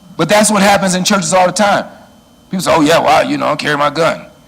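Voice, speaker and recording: The voice is loud and very fast. There is audible room echo. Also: man. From Chicago, US Midwest. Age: 60s. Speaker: church security trainer. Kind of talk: lecture. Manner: animated.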